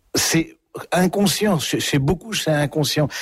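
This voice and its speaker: A man talks with lively intonation. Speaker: priest, author and former prison chaplain. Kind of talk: radio interview. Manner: hesitant, with frequent fillers and repetitions.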